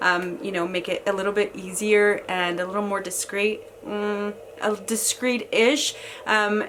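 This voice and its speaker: A woman's medium-pitched, monotone voice at a fairly slow pace, with noticeable background noise. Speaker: lifestyle vlogger. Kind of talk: product review vlog. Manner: casual with many fillers.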